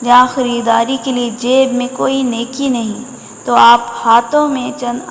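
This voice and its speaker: Noticeable background noise sits behind the recording. A woman talks in a high pitch. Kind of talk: religious quotes reading.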